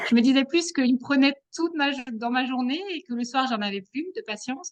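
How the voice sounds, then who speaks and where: Her voice is high-pitched with lively intonation. This woman talks at a fairly quick pace. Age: 30s. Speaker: pediatric nurse and mother, program participant. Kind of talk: interview. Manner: hesitant, many fillers.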